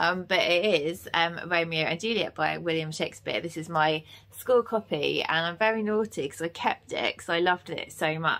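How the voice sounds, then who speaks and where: A woman's fairly low, a normal speaking voice, at a moderate pace with hardly any pauses and ordinary pitch variation. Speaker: book vlogger. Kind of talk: casual vlog chat. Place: home room. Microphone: phone near.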